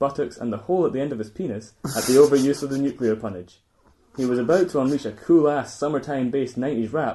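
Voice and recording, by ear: Natural-voiced reading, with pitch shifting in an ordinary manner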